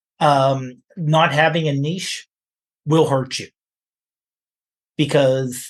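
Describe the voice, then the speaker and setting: Against a quiet background, a somewhat breathy man talks at a very slow pace. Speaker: podcast co-host. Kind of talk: casual podcast conversation.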